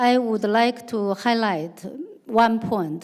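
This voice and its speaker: A woman talks in a Chinese accent at a fairly slow pace. Her fairly high pitch shows ordinary variation. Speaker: activist panelist. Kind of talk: panel discussion. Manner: halting.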